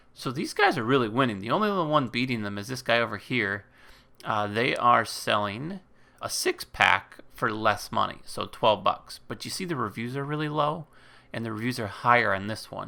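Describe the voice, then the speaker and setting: A bright, sharp tone at a moderate pace, with ordinary pitch variation, on a very clean recording with a silent background. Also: man, medium pitch for a man. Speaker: YouTuber teaching Amazon selling. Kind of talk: screen-share tutorial. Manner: casual, many fillers.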